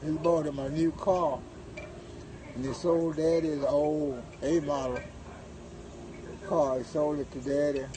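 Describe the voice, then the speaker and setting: Over noticeable background noise, a man with a fairly high pitch talks fairly slowly and evenly, leaving long, frequent pauses. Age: 80s+. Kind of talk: interview answer.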